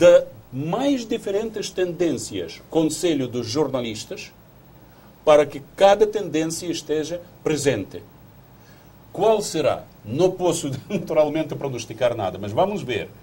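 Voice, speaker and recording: A man with a fairly high pitch, very wide pitch swings, vocal fry and a very slow pace. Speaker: diplomat. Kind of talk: TV interview. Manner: halting.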